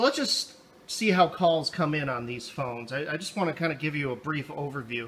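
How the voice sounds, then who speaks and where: At a moderate pace, a man speaks with light background noise present. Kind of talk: product demo tutorial. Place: office. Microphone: phone near.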